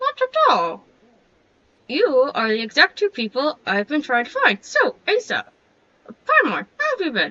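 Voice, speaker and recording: Using a put-on character voice, a woman speaks at a moderate pace with long, frequent pauses. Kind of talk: comic overacting. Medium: machinima.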